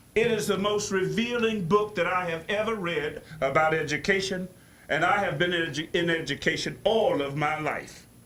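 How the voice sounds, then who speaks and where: A high-voiced man at a moderate pace, with ordinary pitch variation, over noticeable background noise. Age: 80s+. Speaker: public commenter at board meeting. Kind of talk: public comment speech. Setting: board meeting. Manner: animated.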